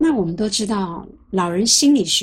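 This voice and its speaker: Very wide pitch swings mark this woman's speech, which has a bright, sharp tone, a medium pitch and a fairly slow pace. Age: 60s. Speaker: lecturer on psychology of aging. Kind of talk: lecture. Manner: conversational, with frequent filler sounds.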